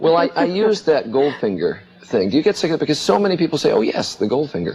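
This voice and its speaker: Rushing at a very fast pace, a man with fairly high pitch makes very wide pitch swings while keeping his loudness very even, with noticeable background noise around him. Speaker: TV morning show host. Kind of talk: TV interview.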